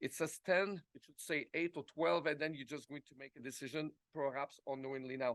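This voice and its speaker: With a French Canadian accent, a man talks at a moderate pace and with ordinary pitch variation, the sound dry and close with no echo. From Quebec, Montreal. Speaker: product executive. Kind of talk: conference presentation.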